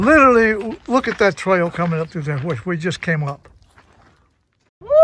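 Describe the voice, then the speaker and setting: A man with an American accent speaks at a high pitch in a bright, sharp tone. His intonation is lively, and his pace is moderate. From Kentucky, USA. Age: 80s+. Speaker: adventurer, record-setting hiker. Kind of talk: trail video narration to camera. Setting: outdoors. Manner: excited, exuberant.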